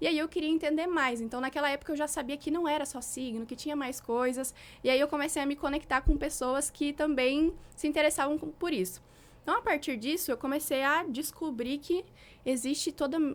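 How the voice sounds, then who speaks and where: With ordinary pitch variation, a woman talks at a fairly quick pace in a high voice. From southern Brazil, Rio Grande do Sul (Santa Cruz do Sul). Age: 20s. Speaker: relationship mentor, former astrologer. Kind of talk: podcast interview, personal testimony.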